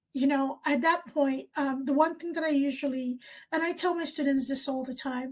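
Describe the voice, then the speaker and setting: The recording is very clean, with a silent background, as a woman talks at a moderate pace. Her pitch is high and her intonation fairly even. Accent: Nigerian. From Nigeria. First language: Ibibio. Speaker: nursing professor. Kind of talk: casual chat.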